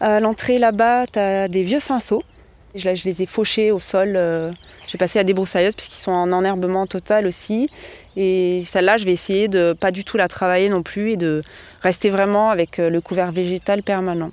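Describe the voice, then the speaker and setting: An unremarkable speaking voice from a woman at a medium pitch. She keeps a moderate pace and fairly even intonation. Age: 40s. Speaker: winemaker. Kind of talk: casual interview.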